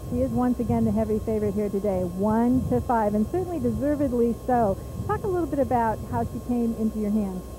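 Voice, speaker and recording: Over music in the background, a woman speaks at a fairly quick pace with hardly any pauses and very even loudness, in a dry sound with no echo. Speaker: racetrack interviewer. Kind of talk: trackside sports interview. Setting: at a fairground racetrack. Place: stadium. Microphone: handheld.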